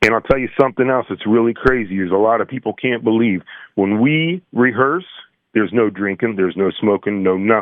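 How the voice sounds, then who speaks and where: A man talks in an American accent at a medium pitch. It is an ordinary speaking voice. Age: 60s. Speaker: musician. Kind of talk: casual chat.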